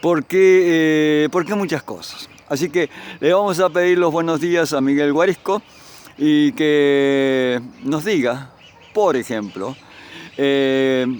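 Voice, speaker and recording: The speech moves at a very slow pace, with ordinary pitch variation. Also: man, fairly high pitch for a man. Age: 70s. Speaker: interviewer. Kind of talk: interview.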